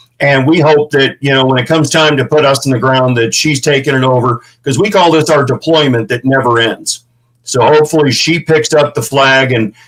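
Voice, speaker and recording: With a Midwestern American accent, a man talks at a moderate pace and with ordinary pitch variation. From St. Louis, Missouri. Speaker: veteran ranch founder. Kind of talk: interview. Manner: animated.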